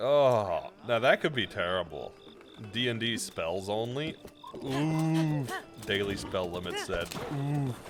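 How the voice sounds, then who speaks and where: The speech is very slow, with long, frequent pauses and very wide pitch swings. Noticeable background noise sits behind it. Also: man, medium pitch for a man. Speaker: video game streamer. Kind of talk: casual livestream chat.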